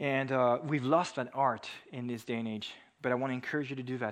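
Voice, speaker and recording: With a French accent, a man talks at a fairly quick pace and a medium pitch. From France. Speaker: preacher. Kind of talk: sermon.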